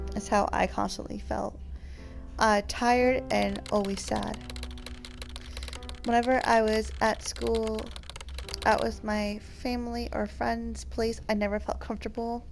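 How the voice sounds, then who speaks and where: A woman at a fairly slow pace with long, frequent pauses, audible room echo and music in the background. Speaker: gaming youtuber. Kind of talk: let's play commentary. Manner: halting, stuttering.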